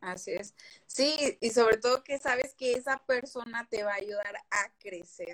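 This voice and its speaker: A woman speaks at a fairly high pitch with a slight Veracruz accent and ordinary pitch variation. Her pace is fairly slow, and the sound is dry and close with no echo. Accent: faint Veracruz accent, rarely noticed. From Veracruz port, Mexico. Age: 20s. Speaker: host's best friend. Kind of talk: casual live chat.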